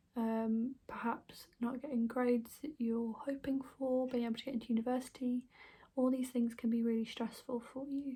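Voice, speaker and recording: A soft-spoken woman's high voice in a British accent, gentle and dark, mellow in tone, with monotone, flat intonation against a quiet background. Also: moderate pace. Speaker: ASMR creator playing an alternative therapist. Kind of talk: ASMR role-play, personal attention. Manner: soft-spoken, gentle. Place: home room. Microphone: phone near.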